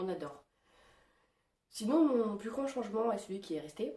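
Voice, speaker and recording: At a fairly quick pace, the voice comes across somewhat breathy with a dark, mellow tone. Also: woman. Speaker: vlogger. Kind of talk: casual vlog. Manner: hesitant, many fillers.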